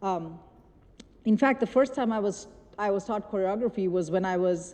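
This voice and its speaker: A woman's dark, mellow tone at a moderate pace, with a Bengali accent. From India. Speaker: choreographer. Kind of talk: lecture. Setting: stage with audience. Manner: halting.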